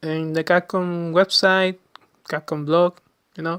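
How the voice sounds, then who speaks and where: In a Chilean Spanish accent, a man speaks with a high pitch and monotone, flat intonation. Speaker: gaming podcaster. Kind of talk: casual monologue podcast. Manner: halting, many fillers and restarts.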